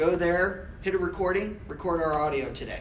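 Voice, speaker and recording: A man's high-pitched voice at a moderate pace, with fairly even intonation, audible room echo and noticeable background noise. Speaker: real estate technology trainer. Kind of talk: classroom training. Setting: classroom with audience.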